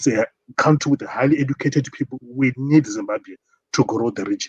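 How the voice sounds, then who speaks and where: With a South African accent, a man talks at a fairly quick pace in a somewhat breathy, fairly high voice with fairly even intonation and a dry, close sound with no echo. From South Africa, Limpopo. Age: 40s. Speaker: caller. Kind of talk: call-in discussion.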